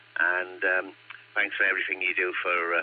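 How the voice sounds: A man's croaky, low-pitched voice at a moderate pace.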